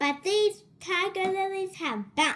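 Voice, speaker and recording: A squeaky, extremely high-pitched put-on character voice at a fairly slow pace. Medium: read story. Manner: bouncy, brash.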